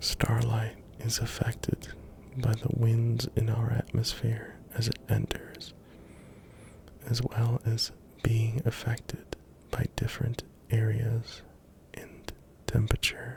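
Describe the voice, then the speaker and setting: Someone whispers at a very slow pace with long, frequent pauses. Noticeable background noise runs underneath. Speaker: ASMR content creator. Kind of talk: ASMR sleep-aid fact narration. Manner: soft-spoken, whispered.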